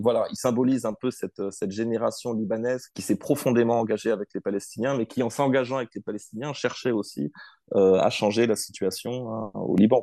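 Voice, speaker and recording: In a quiet background, a man with a medium pitch and a dark, mellow tone talks fairly quickly with fairly even intonation, the sound dry and close with no echo. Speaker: political science researcher. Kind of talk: interview. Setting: remote call. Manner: hesitant, many fillers.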